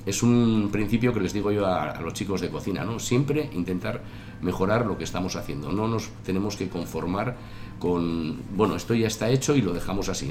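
Against noticeable background noise and audible room echo, a man speaks at a moderate pace with a fairly low pitch and ordinary pitch variation. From Basque Country (Tolosa, Gipuzkoa). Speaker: chef and restaurant owner. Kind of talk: interview. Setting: restaurant. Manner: halting.

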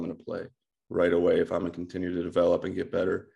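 A man speaks with a Midwestern American accent. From US Midwest, Ohio. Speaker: baseball coach, former pro player. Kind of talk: casual interview chat.

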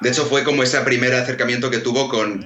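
There is noticeable background noise and audible room echo as a man speaks at a fairly quick pace. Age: 20s. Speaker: screenwriter. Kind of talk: casual chat. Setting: video call.

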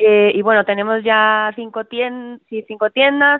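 Speaking at a moderate pace with medium pitch and ordinary pitch variation, this woman has an unremarkable speaking voice. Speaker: caller; business owner. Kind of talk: casual chat.

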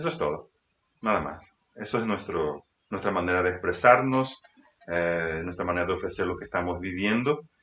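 Lively intonation marks this man's very deep, low voice. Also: moderate pace. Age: 40s. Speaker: spiritual radio host. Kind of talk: spiritual teaching talk. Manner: halting.

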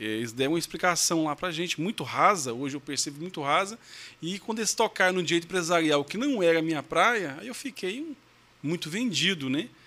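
Bright and sharp in tone, a man's high-pitched voice moves through very wide pitch swings and big swings in loudness. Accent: Goiás. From Goiás, Brazil (São Luís de Montes Belos). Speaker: lawyer. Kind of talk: testimonial interview.

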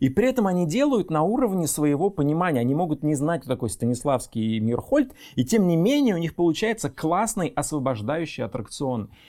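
A man's fairly high voice with a dark, mellow tone, very wide pitch swings and a fairly quick pace. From Russia, Reutov near Moscow. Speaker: screenwriter and producer. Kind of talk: casual chat. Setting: studio.

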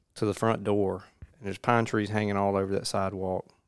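In a Mississippi accent, a man speaks at a fairly low pitch with fairly even intonation. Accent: US South, Mississippi. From Mississippi, Jones County. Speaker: podcast host. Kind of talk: casual chat.

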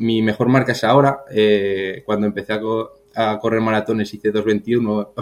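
Here a man talks at a fairly low pitch and a fairly slow pace. His intonation is monotone and flat. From Spain, Burgos. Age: 40s. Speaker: marathon runner and athletics coach. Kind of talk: casual interview. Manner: halting, repeats words.

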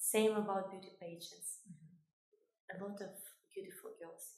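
A woman with a somewhat breathy, medium-pitched voice speaks at a moderate pace, with audible room echo around her. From Kosovo. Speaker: fashion designer and beauty queen. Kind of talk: interview. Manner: halting.

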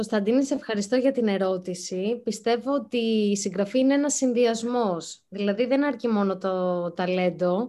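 Hardly pausing, a woman with a fairly high pitch and a dark, mellow tone speaks at a fairly slow pace with ordinary pitch variation and very even loudness. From Greece, Athens. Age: young. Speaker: writer. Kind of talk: interview. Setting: video call.

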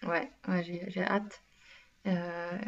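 With a dark, mellow tone, a woman speaks at a medium pitch. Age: 20s. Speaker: podcast co-host. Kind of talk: casual chat.

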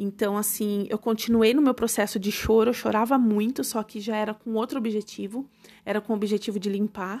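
Over a silent background in a very clean recording, a woman speaks at a fairly quick pace with a fairly high pitch and monotone, flat intonation. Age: 30s. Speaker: podcast host and holistic therapist. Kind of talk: casual personal monologue.

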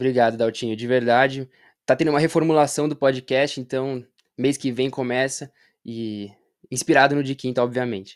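Talking at a moderate pace, a man with an ordinary speaking voice holds a medium pitch and fairly even intonation. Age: 20s. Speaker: basketball content creator. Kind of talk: casual chat.

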